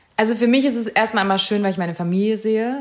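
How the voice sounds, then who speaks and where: A woman talking at a very fast pace. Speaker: fashion journalist. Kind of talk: interview.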